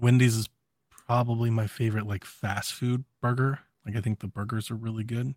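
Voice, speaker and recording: A somewhat breathy, fairly quick delivery in a monotone, flat intonation. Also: man, medium pitch for a man, dry, close sound with no echo, very clean recording, silent background. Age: 30s. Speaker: podcast co-host. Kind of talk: casual chat.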